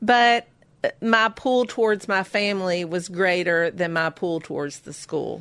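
A woman speaks at a medium pitch with ordinary pitch variation in a plain, everyday voice, on a very clean recording with a silent background. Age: 50s. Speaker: baker and small business owner. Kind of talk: interview.

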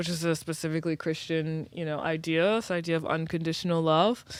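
A woman with an American accent speaks in a normal speaking voice, fairly low in pitch and at a fairly quick pace. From US South, New Orleans. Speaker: writer and entrepreneur. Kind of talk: casual chat.

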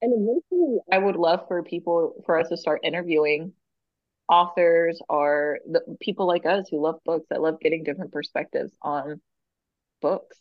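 A woman at a moderate pace, pitched fairly low, with an unremarkable speaking voice. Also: fairly even intonation. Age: 30s. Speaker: podcast host, book reviewer. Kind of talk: casual chat. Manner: laughing often.

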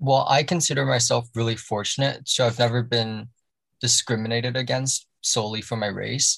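A man speaks in a plain, everyday voice at medium pitch. He has a Canadian accent and fairly even intonation. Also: moderate pace. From Canada, Toronto. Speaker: podcast guest. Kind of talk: casual chat.

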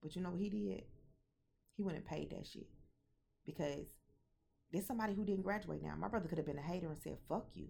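A woman's fairly low, dark, mellow voice with vocal fry at a very fast pace. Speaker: podcast host. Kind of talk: casual monologue. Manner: animated.

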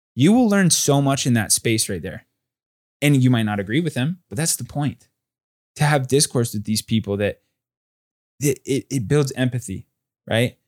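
A man with an American accent, lively intonation and a moderate pace. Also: dry, close sound with no echo. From Southern California. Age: 20s. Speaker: entrepreneur and crypto analyst. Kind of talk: casual chat.

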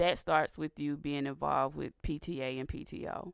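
A woman's very deep, low voice in a Southern US accent at a fairly slow pace, in a very clean recording with a silent background. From US South, Georgia. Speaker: radio host. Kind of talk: religious talk radio monologue with prayer. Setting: studio. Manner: animated.

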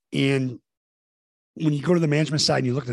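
A somewhat breathy male voice in a dry, close sound with no echo. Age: 50s. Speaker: executive coach, former college basketball coach. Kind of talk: interview conversation.

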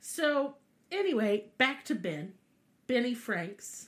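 In a Southern US accent, a woman speaks at a fairly slow pace with an animated tone and very wide pitch swings. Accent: Southern US, twangy. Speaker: podcast host. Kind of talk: casual chat, comedic storytelling. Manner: animated, irreverent, profane.

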